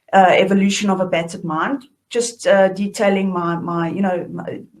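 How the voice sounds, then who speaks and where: At a moderate pace, a woman with a South African accent speaks at a fairly low pitch with fairly even intonation. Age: 30s. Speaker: author and shadow work facilitator. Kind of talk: online workshop talk.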